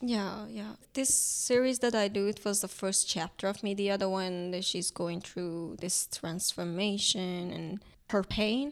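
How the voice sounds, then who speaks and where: A woman with a Turkish accent talks at a fairly slow pace with hardly any pauses. Her medium pitch shows ordinary pitch variation. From Iran. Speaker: painter and art student. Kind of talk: casual interview about her art. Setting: studio.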